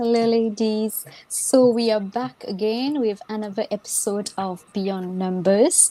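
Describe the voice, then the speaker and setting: A woman speaks at a fairly slow pace in a dark, mellow tone. Her pitch sits fairly high and moves with ordinary variation. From Mauritius. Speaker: podcast host. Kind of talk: casual panel discussion.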